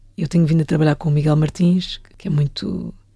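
A woman with a dark, mellow tone speaks at a fairly quick pace, sounding somewhat breathy. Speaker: film director. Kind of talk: casual interview chat.

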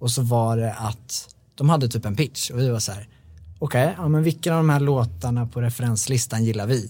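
A dark, mellow, somewhat breathy voice with ordinary pitch variation. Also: man. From Sweden, Bålsta near Stockholm. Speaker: songwriter. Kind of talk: casual interview chat.

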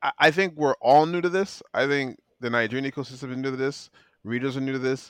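The man's speech rushes at a very fast pace. Behind him, the background stays quiet. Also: medium pitch for a man, ordinary pitch variation. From Nigeria. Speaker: podcast co-host. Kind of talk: casual chat.

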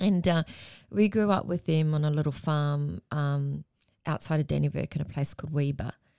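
Over a very clean recording with a silent background and a dry, close sound with no echo, a woman with an Australian accent speaks at a moderate pace in a very deep, low pitch with a dark, mellow tone. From Melbourne, Australia. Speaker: Māori community worker. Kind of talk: casual chat.

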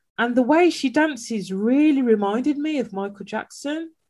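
A woman with a Birmingham accent. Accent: Birmingham (Brummie) English. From Birmingham, England. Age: 30s. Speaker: podcast host, brand consultant. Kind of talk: casual interview chat.

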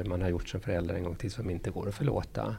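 Very deep and low in pitch, a man speaks in a dark, mellow, somewhat breathy tone with ordinary pitch variation. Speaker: pediatrician and parenting author. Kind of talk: interview.

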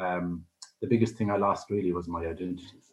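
A man with a very deep, low pitch, an Irish accent and a moderate pace. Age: 60s. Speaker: life coach. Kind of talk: radio interview.

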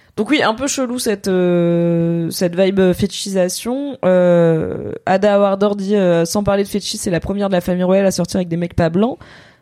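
A woman talks at a moderate pace in a normal speaking voice, medium in pitch with ordinary variation. She hardly pauses at all. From France, Paris. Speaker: content creator, podcast host. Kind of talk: casual chat. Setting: Twitch livestream.

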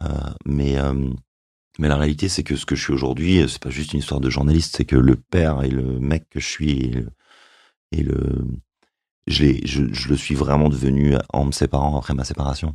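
This man's very deep, low voice moves at a moderate pace in a flat monotone, broken by long, frequent pauses. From France, Yvelines. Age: 40s. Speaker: journalist. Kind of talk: testimony.

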